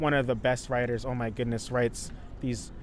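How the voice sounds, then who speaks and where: At a fairly quick pace, a man talks in an enthusiastic, upbeat tone at a medium pitch. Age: 20s. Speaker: poet. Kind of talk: interview answer.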